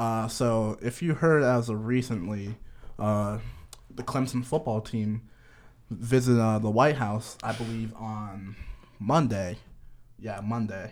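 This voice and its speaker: With an American accent, a man talks at a very slow pace with fairly even intonation. Long pauses come often. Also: medium pitch for a man. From Connecticut. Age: 20s. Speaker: podcast co-host, college student. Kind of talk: casual chat. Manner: halting.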